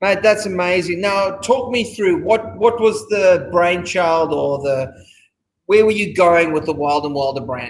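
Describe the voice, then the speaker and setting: A high-voiced man with an Australian accent, lively intonation and a fairly slow pace. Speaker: restaurant owner and host. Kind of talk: casual interview.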